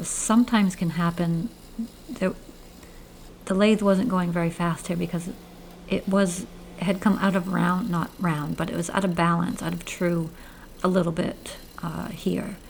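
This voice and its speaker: A woman talks with a Maine accent at a fairly low pitch. Her intonation is fairly even, with long, frequent pauses. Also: moderate pace. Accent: Maine accent, drops r. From Maine, US. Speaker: woodturner, channel host. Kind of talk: narrated tutorial voiceover. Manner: casual, with hesitations.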